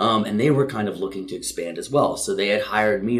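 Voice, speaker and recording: With audible room echo, a man talks at a fairly quick pace in a fairly low voice. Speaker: CrossFit gym owner and coach. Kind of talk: casual interview chat. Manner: fast; energetic.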